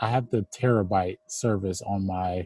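A man with an American accent, fairly low in pitch and somewhat breathy, with a dark, mellow tone, fairly even intonation, a fairly slow pace, and a dry, close sound with no echo. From Cleveland, Ohio, US. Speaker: filmmaker and content creator. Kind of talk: casual interview.

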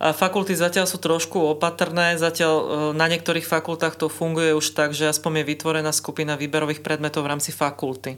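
A woman speaks very fast in a very deep, low voice with flat, monotone intonation, recorded very cleanly against a silent background. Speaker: university rector. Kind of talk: interview.

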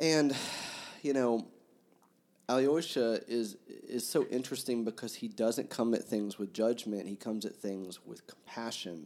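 A man at medium pitch with a normal speaking voice, a fairly slow pace and ordinary pitch variation. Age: 40s. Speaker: book podcast host. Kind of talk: casual chat.

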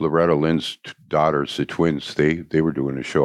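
A man with an American accent speaks at a moderate pace in a very deep, low pitch. His intonation is monotone and flat, in a dry, close sound with no echo. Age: 70s. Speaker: musician. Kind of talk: casual interview chat. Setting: studio.

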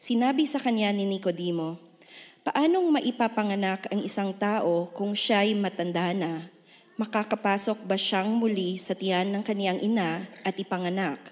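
A woman's medium-pitched voice at a moderate pace, with ordinary pitch variation. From Philippines. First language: Ilonggo. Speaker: church member reading scripture. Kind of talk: reading aloud. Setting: church.

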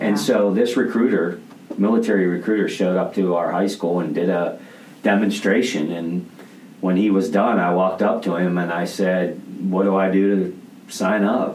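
A man with an American accent talks at a moderate pace in a very deep, low pitch, his intonation fairly even and his loudness very even. Noticeable background noise and audible room echo surround his voice. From rural US. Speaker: podcaster and leadership coach. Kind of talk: interview. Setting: studio.

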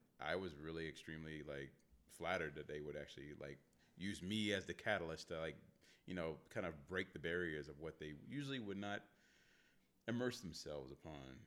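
At a fairly quick pace, a man speaks with vocal fry, a very deep, low pitch and ordinary pitch variation. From Northern Virginia, DC area (Manassas). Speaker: videographer and photographer. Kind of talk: casual chat. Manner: loud.

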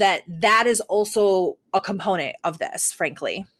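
Recorded very cleanly against a silent background, a woman speaks very slowly with ordinary pitch variation in a dry, close sound with no echo. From Detroit, US (Hamtramck). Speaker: university professor, co-host. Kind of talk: casual political chat.

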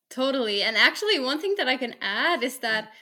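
Recorded very cleanly against a silent background, a woman with a Norwegian accent speaks at a moderate pace. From Norway. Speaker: special education teacher. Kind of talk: casual chat.

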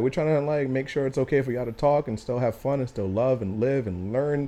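The man's voice sits fairly high, and he talks at a very fast pace. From small town. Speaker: podcast co-host. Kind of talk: casual chat.

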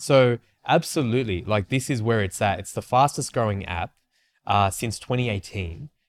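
Lively intonation from a man at medium pitch and moderate pace, on a very clean recording with a silent background. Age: 30s. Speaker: podcast co-host, marketing agency co-founder. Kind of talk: casual chat. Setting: studio. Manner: animated.

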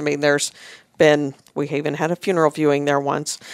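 In a dry, close sound with no echo, a woman talks at a very deep, low pitch with monotone, flat intonation. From northern Indiana, US Midwest. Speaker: egg farm family business manager. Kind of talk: casual interview. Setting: studio.

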